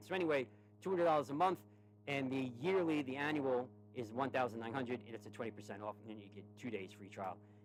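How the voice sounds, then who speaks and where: A man with a New York accent talks at a medium pitch. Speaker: stock trading streamer. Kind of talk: tutorial and sales pitch. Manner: lower energy than usual; halting, repeats words.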